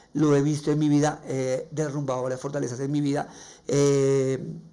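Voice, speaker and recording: The man's tone is dark and mellow. He talks in a flat monotone. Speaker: podcast host. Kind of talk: religious reflection podcast. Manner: halting.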